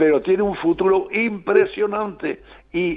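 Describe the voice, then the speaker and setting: This is a man speaking. His pace is very slow. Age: 90s. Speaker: veteran journalist. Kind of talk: interview. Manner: halting; animated.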